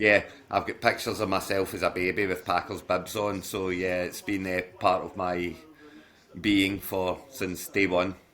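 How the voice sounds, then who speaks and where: With a Glasgow accent, a man speaks at a moderate pace with a very deep, low pitch, a bright, sharp tone and monotone, flat intonation. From Scotland, Glasgow. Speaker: fantasy football league manager. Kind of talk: casual chat. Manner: halting, many restarts.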